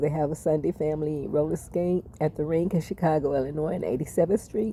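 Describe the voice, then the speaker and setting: The speaker is a woman with a very deep, low pitch. Her pitch varies in an ordinary way. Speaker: vlogger. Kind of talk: casual monologue storytelling. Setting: home, eating on camera. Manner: halting.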